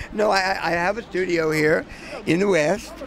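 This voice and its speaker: Someone with an American accent speaks with ordinary pitch variation over noticeable background noise. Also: man. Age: 70s. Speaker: video artist. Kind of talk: casual interview. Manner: halting.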